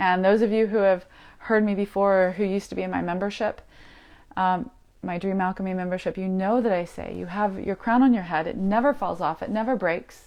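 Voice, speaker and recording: Over a quiet background, a woman with an ordinary speaking voice talks at a fairly quick pace and medium pitch, her intonation fairly even. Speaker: spiritual teacher. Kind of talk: live stream spiritual talk. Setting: live video stream.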